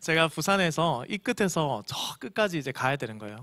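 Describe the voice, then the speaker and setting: With very wide pitch swings, a man talks at a fairly quick pace on a very clean recording with a silent background. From Korea, Busan. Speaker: pastor. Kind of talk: sermon. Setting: church.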